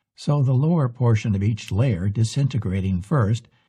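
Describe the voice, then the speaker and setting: Over a quiet background, a man at medium pitch speaks at a moderate pace with lively intonation and a somewhat breathy sound. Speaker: storyteller. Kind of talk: narration of folk tale.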